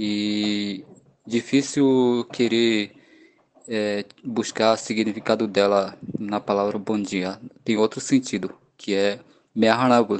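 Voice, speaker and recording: A man's fairly low, monotone voice with flat intonation, an Amazonian accent and a very slow pace. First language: Wanano (speaking Portuguese). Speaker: pedagogy student. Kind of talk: interview answers. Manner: halting.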